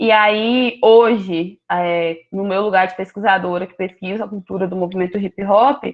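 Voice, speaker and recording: Here is a plain, everyday voice with fairly even intonation, speaking at a fairly slow pace. There are hardly any pauses, and the loudness swings widely. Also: woman, medium pitch for a woman. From Rio de Janeiro, Brazil. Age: 20s. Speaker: graduate student researcher. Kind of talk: academic presentation.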